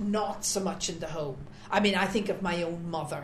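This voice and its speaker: A woman with an Irish accent, noticeable background noise behind her. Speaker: parish volunteer. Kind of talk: interview.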